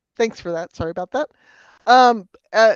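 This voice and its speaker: The pitch moves in an ordinary way, and the background stays quiet. The sound is dry and close, with no echo. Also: woman. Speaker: energy consultant presenting a technology assessment. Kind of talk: technical presentation in an online meeting. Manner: fast.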